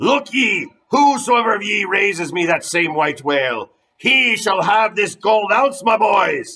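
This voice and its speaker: A man's put-on character voice, high-pitched with very wide pitch swings, at a fairly slow pace. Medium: read story. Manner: fierce, commanding, archaic sea speech.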